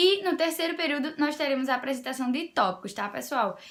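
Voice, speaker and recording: A woman speaks with lively intonation. Her tone is animated. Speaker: essay-writing tutor, educational youtuber. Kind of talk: tutorial. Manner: fast.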